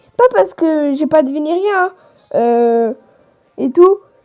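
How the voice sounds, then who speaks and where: Very slow pace, a dark, mellow tone and very wide pitch swings. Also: woman. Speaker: gaming youtuber. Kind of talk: casual gaming commentary. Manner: halting, many hesitations; improvised. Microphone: phone recording, poor sound.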